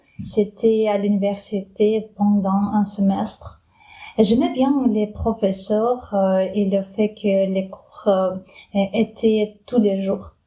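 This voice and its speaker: A woman with a Ukrainian accent, medium in pitch, somewhat breathy and dark, mellow in tone, at a very slow pace with monotone, flat intonation. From Ukraine. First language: Ukrainian (speaking French). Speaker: immigrant interviewee. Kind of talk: interview. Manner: halting.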